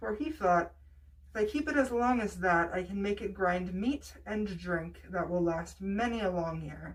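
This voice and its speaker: A woman's somewhat breathy voice of medium pitch, with lively intonation and a fairly slow pace. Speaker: storyteller. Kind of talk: bedtime story reading.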